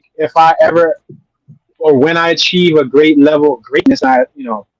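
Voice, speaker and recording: A man talks in a high pitch at a moderate pace. The sound is dry and close, with no echo. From US Northeast, North Philadelphia. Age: 30s. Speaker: YouTube creator. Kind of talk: interview. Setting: live stream.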